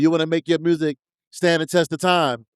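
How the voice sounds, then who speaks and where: A man's high voice with a New York accent, dry and close with no echo, on a very clean recording over silent background. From New York, the Bronx. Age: 50s. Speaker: hip hop DJ. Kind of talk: interview. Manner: halting.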